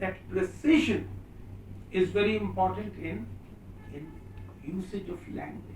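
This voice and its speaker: With a fairly high pitch and very wide pitch swings, a man speaks at a fairly slow pace with long, frequent pauses and big swings in loudness, amid noticeable background noise and audible room echo. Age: 60s. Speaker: professor. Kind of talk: lecture. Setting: seminar room with students.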